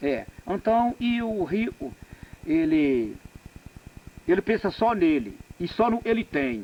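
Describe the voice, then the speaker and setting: The speech is very slow, with very wide pitch swings and long, frequent pauses. Noticeable background noise runs underneath. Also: man, high pitch for a man. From Northeastern Brazil. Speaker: farm laborer. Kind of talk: oral history interview. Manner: frank, plain-spoken.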